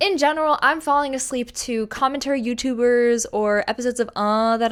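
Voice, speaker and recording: This woman has a plain, everyday voice, fairly high in pitch, with ordinary pitch variation at a moderate pace. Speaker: youtuber. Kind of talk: casual vlog.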